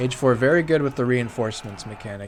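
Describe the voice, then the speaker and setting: Mid-range male voice against noticeable background noise. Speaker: esports caster. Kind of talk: live commentary. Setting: live stream. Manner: loud; animated.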